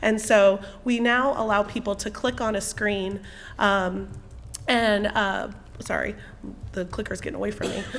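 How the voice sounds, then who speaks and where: A woman's medium-pitched voice at a moderate pace, fairly even intonation and long, frequent pauses, amid noticeable background noise. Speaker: university student success staff presenter. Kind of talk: presentation.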